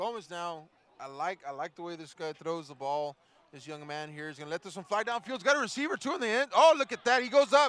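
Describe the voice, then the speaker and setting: Speaking at a very fast pace, a man with a high pitch makes very wide pitch swings and big swings in loudness, the sound dry and close with no echo. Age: 30s. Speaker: football play-by-play commentator. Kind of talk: live sports commentary.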